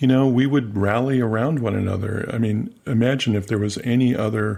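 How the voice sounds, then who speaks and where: A man's plain, everyday voice, fairly low in pitch, with fairly even intonation at a moderate pace. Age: 60s. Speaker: podcast host. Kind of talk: interview conversation.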